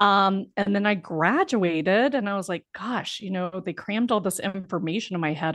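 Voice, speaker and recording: Against a quiet background, a woman speaks with a Mississippi Gulf Coast accent. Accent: Southern US (Mississippi Gulf Coast). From US South, Biloxi, Mississippi. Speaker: life coach and former attorney. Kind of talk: interview.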